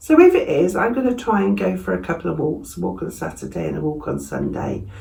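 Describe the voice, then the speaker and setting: Over noticeable background noise and audible room echo, a woman with an English accent talks at a very fast pace. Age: 60s. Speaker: vlogger. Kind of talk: casual vlog talk. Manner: conversational, with fillers.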